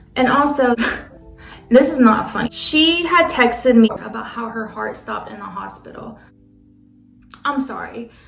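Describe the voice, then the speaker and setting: Music plays in the background as a woman speaks at high pitch and a moderate pace, with ordinary pitch variation. Her loudness swings widely, and her pauses are long and frequent. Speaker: nail tech. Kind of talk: storytime talk to camera.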